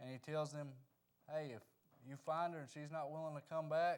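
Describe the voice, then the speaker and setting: Speaking fairly quickly with a Southern US accent, a man keeps a monotone, flat intonation at a fairly high pitch. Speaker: Sunday school teacher. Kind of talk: Bible lesson. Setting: church with microphone. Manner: soft-spoken.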